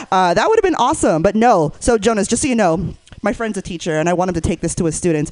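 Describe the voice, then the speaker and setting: Lively in intonation, a woman with an American accent has an unremarkable speaking voice at medium pitch. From Northern California. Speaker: comedian and sex educator. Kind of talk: stand-up. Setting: stage with audience.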